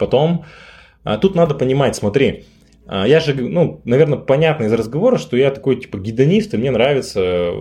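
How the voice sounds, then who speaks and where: A man at medium pitch speaks at a moderate pace, somewhat breathy, his voice making very wide pitch swings. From Yekaterinburg, Russia. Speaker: startup founder. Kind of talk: casual chat.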